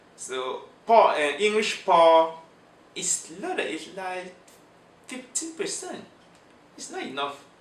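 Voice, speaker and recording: A man at a very slow pace with long, frequent pauses and big swings in loudness, amid noticeable background noise and audible room echo. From Cameroon, French-speaking region. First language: French. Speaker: immigrant interviewee. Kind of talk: interview. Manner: halting.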